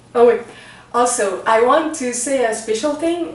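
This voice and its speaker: A woman with a Quebec accent speaks at a very slow pace with lively intonation, amid noticeable background noise and audible room echo. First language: French. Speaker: spiritual teacher. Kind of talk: talk to camera introducing a spiritual reading. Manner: slow, halting with many fillers.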